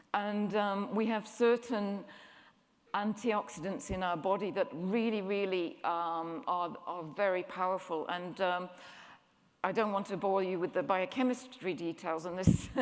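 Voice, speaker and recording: With audible room echo, a woman speaks fairly slowly at a medium pitch and with ordinary pitch variation. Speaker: nutrition scientist, scientific advisory board member. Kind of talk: conference presentation. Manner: halting, many fillers.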